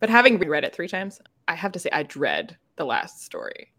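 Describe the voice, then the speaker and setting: A very clean recording with a silent background, the speaker in an American accent. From United States. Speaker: podcast co-host. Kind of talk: casual chat.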